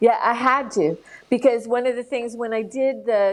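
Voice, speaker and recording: An unremarkable speaking voice from a woman, fairly high in pitch, with fairly even intonation and a moderate pace. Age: 60s. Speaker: founder and musical creator, podcast guest. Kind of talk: casual interview chat.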